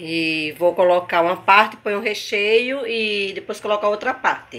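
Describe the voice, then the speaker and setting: An animated woman at medium pitch with ordinary pitch variation, noticeable background noise behind her. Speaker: cooking youtuber. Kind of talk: cooking tutorial.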